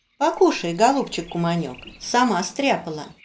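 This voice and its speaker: A female-sounding cartoonish character voice at a medium pitch and moderate pace. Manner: sugary, flattering.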